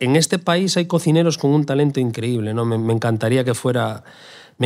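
A man's medium-pitched voice at a very fast pace on a very clean recording with a silent background. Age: 40s. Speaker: chef. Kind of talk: interview. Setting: live event venue. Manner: halting, frequent repetitions.

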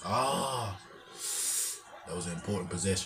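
A man speaks with a very deep, low pitch. Noticeable background noise can be heard. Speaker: YouTube sports reaction creator. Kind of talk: live sports reaction commentary. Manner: casual, laughing, chatty. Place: home room. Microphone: webcam.

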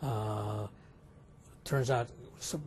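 Somewhat breathy, a man speaks with an American accent and fairly even intonation. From California, Sacramento. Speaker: neurologist. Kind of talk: interview. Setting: medical congress.

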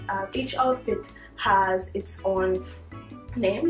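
Faint music plays in the background as a woman speaks with audible room echo. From Dominica. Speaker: university student. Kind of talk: interview answer. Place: home room.

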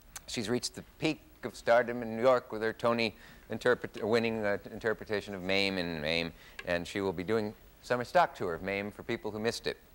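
The man has an ordinary speaking voice, talking at a fairly quick pace with ordinary pitch variation and a fairly low pitch. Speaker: talk show host. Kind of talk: talk show guest introduction. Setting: TV studio. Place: studio. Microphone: lapel.

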